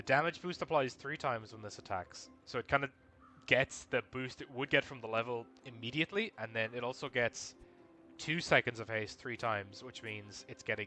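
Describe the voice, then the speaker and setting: Over music in the background, a man mumbles quietly at a moderate pace and medium pitch, with ordinary pitch variation and big swings in loudness. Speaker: video game streamer. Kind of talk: live gameplay commentary. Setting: live stream at home. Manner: mumbling.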